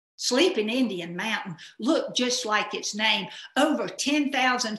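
A woman with a Southern US accent and a bright, sharp tone, ordinary pitch variation, audible room echo and a quiet background. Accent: Southern American. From Southern United States. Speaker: hobbyist storyteller. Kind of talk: personal story performance. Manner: humorous. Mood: humorous, lively. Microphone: webcam.

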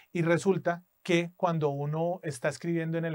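Against a quiet background, a man with a fairly high pitch talks at a moderate pace in a plain, everyday voice with fairly even intonation. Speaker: English test instructor. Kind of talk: tutorial; personal anecdote. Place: studio.

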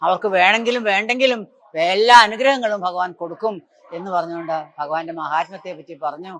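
A man talks at a high pitch with ordinary pitch variation. His loudness swings a lot. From southern Kerala, Thiruvananthapuram. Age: 80s+. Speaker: Narayaneeyam teacher. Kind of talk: religious storytelling talk. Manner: halting.

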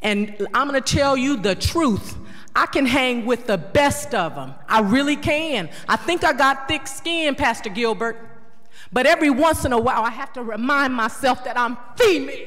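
A woman with a high pitch, ordinary pitch variation and a moderate pace against a quiet background. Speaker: city council member. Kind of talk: heated council debate speech. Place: hall. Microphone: podium.

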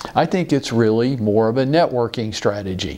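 A man's intonation is lively, and his pace is moderate. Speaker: real estate business coach. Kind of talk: lecture. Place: office. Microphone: lapel.

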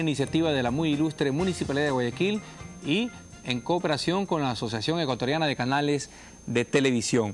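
The speaker moves at a fairly quick pace with ordinary pitch variation, faint music in the background. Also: man. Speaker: TV course host. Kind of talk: educational TV presentation. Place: studio. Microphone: lapel.

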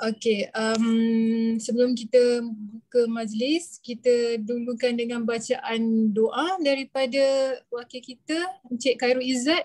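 At a very slow pace, a woman speaks with a high pitch and fairly even intonation against a quiet background. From Malaysia. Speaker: emcee. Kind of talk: formal emcee introduction. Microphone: video call.

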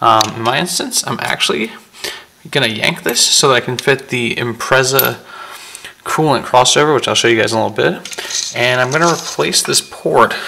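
This man speaks at a moderate pace with ordinary pitch variation over light background noise. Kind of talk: casual vlog chat. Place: garage. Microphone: phone near.

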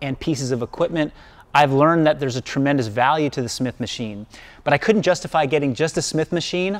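Pitch moves by a normal amount as a man talks very fast. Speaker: coach showing his gym. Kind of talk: tutorial. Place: gym. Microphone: lapel.

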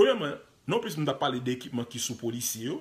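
The man's somewhat breathy voice sits at a medium pitch and shows ordinary pitch variation. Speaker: online commentator, news video host. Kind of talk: live video commentary on news footage. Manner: animated.

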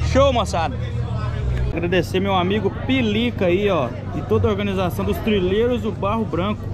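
Against crowd noise, a man with a fairly low pitch talks at a moderate pace with ordinary pitch variation. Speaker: trail rider vlogger. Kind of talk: casual vlog chat. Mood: cheerful, thanking organizers. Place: open country. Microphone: phone near.

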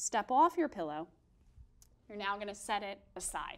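A woman speaks in a calm tone, her pitch swinging very widely. The background is quiet. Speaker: fitness instructor. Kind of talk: guided exercise class. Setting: video workout demonstration. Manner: calm, encouraging, paced cueing with countdowns; clear, instructive. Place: studio.

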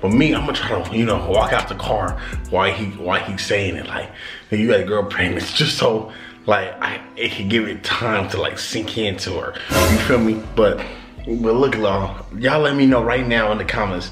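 The speaker talks at a moderate pace with ordinary pitch variation while music plays clearly in the background. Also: man, fairly low pitch for a man. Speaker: prank channel vlogger. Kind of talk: casual vlog chat. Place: home room.

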